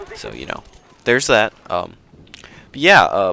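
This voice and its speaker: An American accent at a moderate pace, over noticeable background noise. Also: man. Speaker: gaming commentator. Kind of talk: gameplay commentary. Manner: casual, rambling with fillers.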